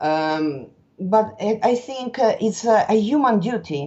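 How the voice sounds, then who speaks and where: A woman with a strong Italian accent, speaking at a very slow pace. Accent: thick Italian. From Italy. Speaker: interview guest. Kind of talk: podcast interview. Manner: halting.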